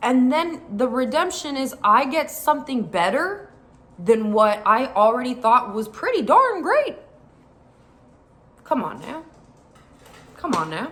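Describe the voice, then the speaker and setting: A high-pitched woman talks fairly slowly with long, frequent pauses, very wide pitch swings and big swings in loudness. Noticeable background noise runs underneath. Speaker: faith vlogger. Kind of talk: personal vlog talk. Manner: casual, filler-heavy.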